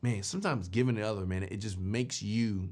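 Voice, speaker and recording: A man speaks at a medium pitch and a fairly quick pace against a quiet background, in a plain, everyday voice. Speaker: podcast host. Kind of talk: casual talk to camera, podcast commentary. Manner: conversational, upbeat.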